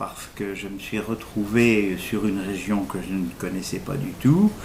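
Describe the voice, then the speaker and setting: Noticeable background noise and audible room echo surround the recording. A man talks at a very slow pace in a fairly low pitch with ordinary pitch variation. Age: 60s. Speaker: recovering alcoholic, retired cinema technician. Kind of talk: interview testimony. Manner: halting, many fillers.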